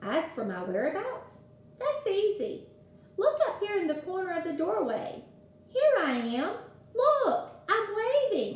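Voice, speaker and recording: A woman puts on a squeaky character voice with an extremely high pitch, very wide pitch swings and a gentle tone, speaking at a fairly slow pace with slight echo. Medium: read story. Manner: kindly, gentle.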